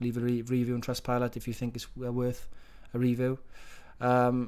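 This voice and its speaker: A man with a Welsh accent, medium-pitched, at a fairly quick pace. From Wales. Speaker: fitness coach. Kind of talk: motivational talk to program participants. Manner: encouraging, conversational.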